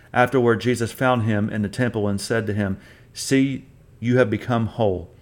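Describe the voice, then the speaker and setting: This man has an unremarkable speaking voice, pitched fairly low. His intonation stays fairly even at a moderate pace. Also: very clean recording, silent background. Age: 40s. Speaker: podcast host, deliverance ministry teacher. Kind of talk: bible teaching.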